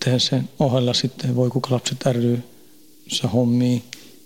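A man speaks at a fairly slow pace. His voice has a medium pitch. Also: very even loudness. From Sweden, Stockholm suburb. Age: 40s. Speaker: prison inmate. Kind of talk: interview.

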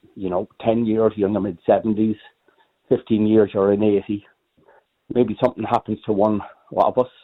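At a moderate pace and fairly low pitch, a man speaks with monotone, flat intonation and long, frequent pauses. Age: 60s. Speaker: caller. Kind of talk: phone-in radio chat. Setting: phone call.

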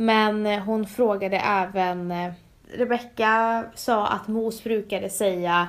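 A woman talks at a very slow pace in a medium pitch. Her intonation is flat and monotone. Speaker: podcast host. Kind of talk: casual chat.

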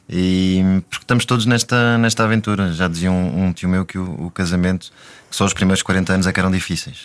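Very deep and low in pitch, a man talks with ordinary pitch variation. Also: fairly quick pace. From Africa. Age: 30s. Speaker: married father of five. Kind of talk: casual interview conversation. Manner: halting.

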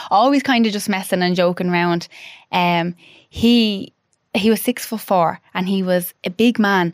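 A woman with an Irish accent at a fairly slow pace, ordinary pitch variation, dry, close sound with no echo, and a very clean recording with a silent background. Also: medium pitch for a woman. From Ireland (Dublin, then Offaly). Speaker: widow and clothing brand founder. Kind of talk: casual chat interview.

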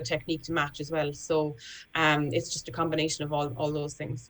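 In a Cork accent, a woman speaks at a moderate pace with monotone, flat intonation. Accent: Cork Irish. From Ireland, Cork. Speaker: retired Paralympic discus thrower. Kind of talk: radio panel chat.

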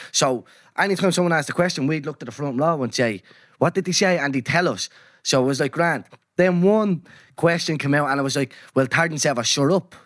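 The recording is very clean, with a silent background. The speaker has an Irish accent and talks at a fairly quick pace. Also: man, fairly high pitch for a man, ordinary pitch variation. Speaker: podcast host. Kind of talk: casual chat.

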